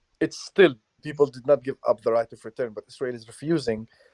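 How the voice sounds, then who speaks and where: This man has an Arabic accent and a dark, mellow tone at medium pitch. His pitch varies in an ordinary way, and the sound is dry and close with no echo. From Palestine, Hebron. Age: 20s. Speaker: journalist and activist. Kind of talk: interview.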